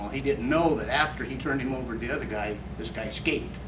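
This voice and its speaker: Very fast speech comes from a man. There is audible room echo and noticeable background noise. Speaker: military POW/MIA recovery official. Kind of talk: speech to veterans reunion. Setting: veterans reunion gathering. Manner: hesitant, many fillers.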